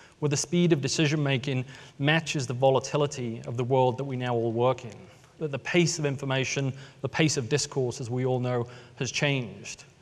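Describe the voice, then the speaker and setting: With an American accent, a man of medium pitch talks at a fairly quick pace with fairly even intonation. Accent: British with American tinge, mid-Atlantic. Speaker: tech company storyteller. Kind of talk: conference talk.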